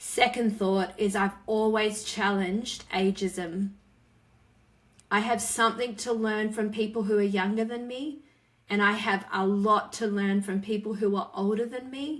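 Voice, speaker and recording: A woman's fairly high, fairly slow voice with fairly even intonation, in an Australian accent. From Western Australia. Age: 40s. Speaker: author and speaker. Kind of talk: interview conversation.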